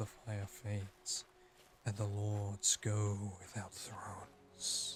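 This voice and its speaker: A man's put-on character voice, soft-spoken and breathy, fairly low in pitch, very slow and monotone with flat intonation. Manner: soft, breathy ASMR.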